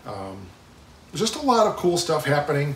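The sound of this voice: With audible room echo, a man speaks at a moderate pace in a fairly high voice of fairly bright tone, his pitch swinging very widely.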